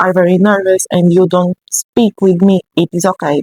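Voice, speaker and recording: Speaking at a fairly slow pace with a non-native accent, a woman has a medium pitch and a dark, mellow tone in a dry, close recording with no echo. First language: not English. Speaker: book review vlogger. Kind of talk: casual talk to camera. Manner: halting.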